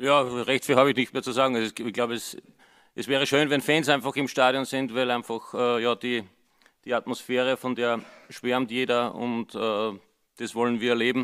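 Over a quiet background, a man speaks with an Austrian accent at a moderate pace. His intonation stays monotone and flat. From Upper Austria. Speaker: football assistant coach. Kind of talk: press conference. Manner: hesitant, many fillers. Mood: calm, friendly. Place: hall. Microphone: podium.

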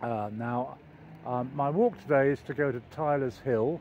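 A man talks at a fairly slow pace with ordinary pitch variation, the sound dry with no echo and light background noise. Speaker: walking vlogger. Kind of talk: casual vlog chat. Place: street. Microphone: phone near.

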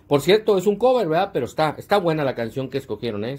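The man's intonation is lively. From northern Mexico. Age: 40s. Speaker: online show host. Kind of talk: casual chat. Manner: casual and slangy. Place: home room. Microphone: earbuds.

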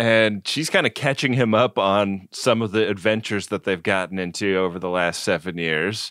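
A man with a fairly low voice talks at a moderate pace, with hardly any pauses and ordinary pitch variation, a normal speaking voice. The sound is dry and close with no echo, a very clean recording with a silent background. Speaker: podcast co-host. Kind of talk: casual chat.

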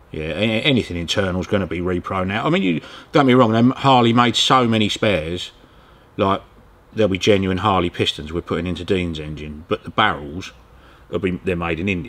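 A man with a very deep, low pitch speaks at a fairly quick pace. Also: ordinary pitch variation. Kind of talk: interview answer. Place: workshop.

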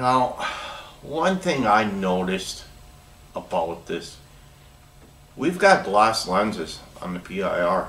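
A man with an American accent, fairly low-pitched, very slow, with very wide pitch swings and long, frequent pauses. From US Upper Midwest (northern Minnesota). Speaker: product demonstrator for door openers; product reviewer. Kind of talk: product demo tutorial. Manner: casual, conversational with self-corrections. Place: workshop. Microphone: camera far.

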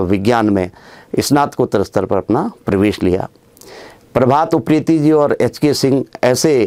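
In a quiet background, a man speaks at a fairly slow pace with a dark, mellow tone. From Uttarakhand, Chamoli district (Garhwal); Uttarakhand, India. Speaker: education official and teacher trainer; teacher trainer. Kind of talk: monologue life story. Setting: studio. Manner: formal. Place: studio. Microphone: lapel.

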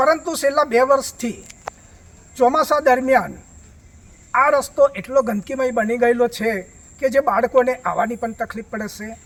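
This man speaks with an extremely high pitch. The pitch moves with ordinary variation. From Gujarat, India (Chhota Udepur district). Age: 60s. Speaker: village resident. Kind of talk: on-camera complaint to news reporter.

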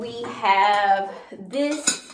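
Amid light background noise and audible room echo, a woman speaks with ordinary pitch variation. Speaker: home decor vlogger. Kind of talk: casual vlog chat. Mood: relaxed and pleased. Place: bathroom.

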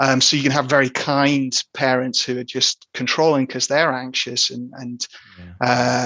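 In a British accent, a man speaks with fairly even intonation. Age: 30s. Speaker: psychotherapist. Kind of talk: interview.

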